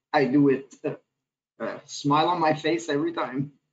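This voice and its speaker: In a Quebec accent, a man speaks at a fairly high pitch with ordinary pitch variation against a quiet background. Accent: Québécois French-accented English. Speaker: executive chef; panelist. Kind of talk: panel discussion. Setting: video call. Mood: enthusiastic, warm. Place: home room. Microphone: video call.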